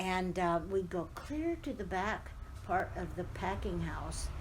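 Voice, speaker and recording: Someone talks at a very slow pace with an American accent, and audible room echo fills the recording. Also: woman. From Southern California, Riverside. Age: 80s+. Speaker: oral history interviewee. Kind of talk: oral history interview. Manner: reminiscing, conversational.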